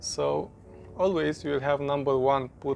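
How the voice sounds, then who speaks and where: A man talks while noticeable noise runs in the background. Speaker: product reviewer. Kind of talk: unboxing tutorial. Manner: halting.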